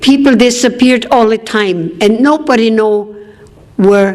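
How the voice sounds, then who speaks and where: Noticeable background noise and audible room echo fill the recording. A woman speaks at a fairly slow pace. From Austria. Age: 80s+. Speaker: political activist and war survivor speaker. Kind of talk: conference speech, personal testimony.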